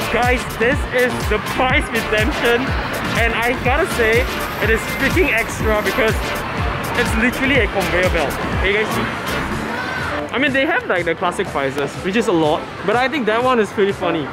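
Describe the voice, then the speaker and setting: Loud music plays in the background. The speech runs at a moderate pace. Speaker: vlogger. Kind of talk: casual vlog chat. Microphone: phone near.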